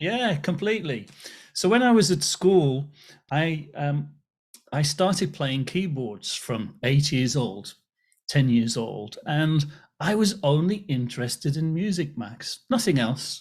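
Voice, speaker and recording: On a very clean recording with a silent background, a man with a fairly high, somewhat breathy voice speaks at a fairly slow pace with very wide pitch swings. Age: 60s. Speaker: author and business speaker. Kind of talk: interview podcast.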